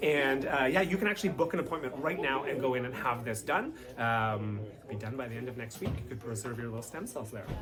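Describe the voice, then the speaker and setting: A man with a Canadian accent, very fast and with hardly any pauses, lively intonation and big swings in loudness, over music in the background with audible room echo. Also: medium pitch for a man. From Canada. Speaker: company spokesperson. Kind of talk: interview. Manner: casual, conversational with frequent fillers.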